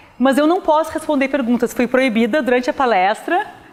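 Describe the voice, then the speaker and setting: Lively intonation marks the high voice of a woman as she talks. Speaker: physics professor. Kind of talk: lecture. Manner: fast.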